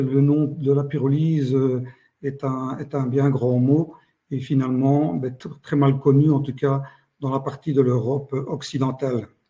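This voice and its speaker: This man's fairly high pitch carries a dark, mellow tone, somewhat breathy and at a fairly slow pace. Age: 60s. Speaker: company founder. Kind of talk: business pitch. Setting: online live meeting. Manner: hesitant, many fillers.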